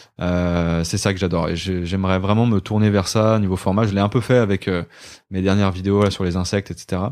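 Talking at a fairly quick pace, the man has a very deep, low voice and flat, monotone intonation. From Brittany, Côtes-d'Armor. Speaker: YouTuber. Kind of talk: casual chat. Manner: halting.

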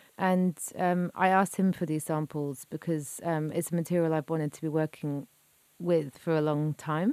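A woman speaks with a very deep, low pitch and a dark, mellow tone. Her intonation is fairly even, and the sound is dry and close with no echo. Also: moderate pace. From southwest England, Devon. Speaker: cellist and composer. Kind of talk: interview monologue about her music. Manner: hesitant, many fillers.

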